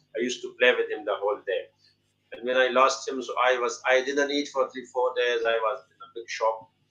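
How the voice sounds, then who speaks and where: This man speaks at a fairly quick pace with a Pashto accent, his loudness swinging widely. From Pakistan, Pashto-speaking. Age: 50s. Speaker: poet and English teacher. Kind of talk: interview. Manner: halting, many fillers.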